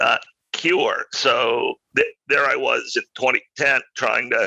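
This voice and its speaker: The recording is dry and close, without echo. A man talks very slowly. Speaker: CEO and author. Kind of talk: podcast interview.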